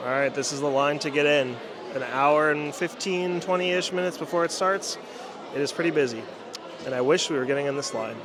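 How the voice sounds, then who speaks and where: Amid noticeable background noise and audible room echo, a man with a fairly high pitch speaks at a fairly quick pace. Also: ordinary pitch variation. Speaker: pin trading vlogger. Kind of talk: casual vlog narration.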